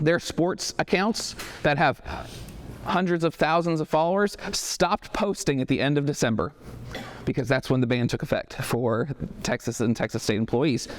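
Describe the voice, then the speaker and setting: Noticeable background noise sits behind a man who talks with an American accent at a very even loudness. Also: fairly high pitch for a man, lively intonation. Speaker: marketing agency owner giving a talk. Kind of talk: talk to a business audience. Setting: stage with live audience, no microphone. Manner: fast.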